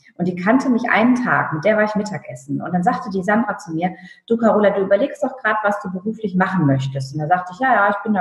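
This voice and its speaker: This woman has a plain, everyday voice, medium in pitch, with ordinary pitch variation. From northern Germany (Friesland). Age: 30s. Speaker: stylist and image consultant. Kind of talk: casual interview.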